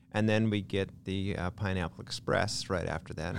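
A man speaks at a fairly quick pace in a fairly low pitch. His is an unremarkable speaking voice. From Lynden, Washington, US Pacific Northwest. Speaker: small-town mayor. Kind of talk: casual interview chat.

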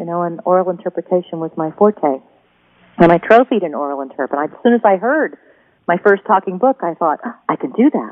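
The speaker is a woman with an American accent. Her pitch sits in the medium range. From US West Coast, Oregon. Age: 40s. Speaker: writer and knitting podcaster. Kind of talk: interview conversation. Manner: polished broadcaster delivery.

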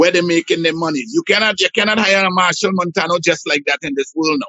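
A man speaks at a very fast pace in a high pitch. His tone is animated, with ordinary pitch variation. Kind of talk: casual chat.

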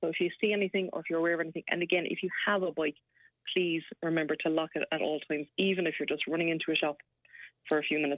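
A woman with an Irish accent, fairly low pitch, fairly even intonation and a very fast pace. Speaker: police sergeant. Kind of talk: radio interview.

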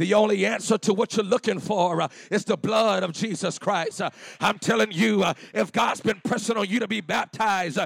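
At a moderate pace, a man speaks in an animated tone at a high pitch, with a dry, close sound and no echo. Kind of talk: sermon. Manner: animated, call-and-response preaching, urging the congregation to shout back; fervent, repetitive, building with 'come on'.

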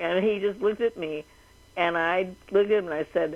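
A woman speaks with an American accent in an unremarkable speaking voice. Her pitch sits fairly low and varies in an ordinary way. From Los Angeles, California. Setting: phone call.

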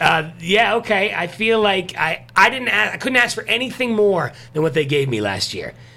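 Using a raised, projected voice, a man with a high pitch speaks at a moderate pace with lively intonation and hardly any pauses. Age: 40s. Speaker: morning radio show host. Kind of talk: casual chat.

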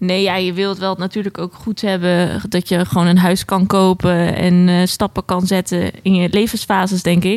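Monotone and flat, a woman talks at a medium pitch and moderate pace with hardly any pauses, recorded in a dry, close sound with no echo. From Netherlands, Alphen aan den Rijn (South Holland). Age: 20s. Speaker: psychiatric nurse. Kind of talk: casual chat.

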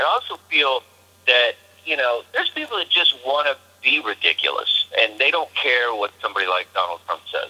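A man with a Texan accent talks at a fairly quick pace. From Texas. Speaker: comedian. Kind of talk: casual interview.

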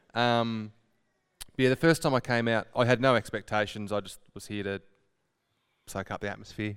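A man with an Australian accent, on a very clean recording with a silent background. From Horsham, Victoria, Australia. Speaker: sales rep. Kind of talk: testimony.

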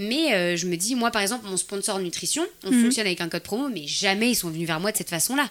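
Speaking at a very fast pace, a woman with a medium pitch sounds animated, with lively intonation. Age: 20s. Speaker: fitness YouTuber. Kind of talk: interview.

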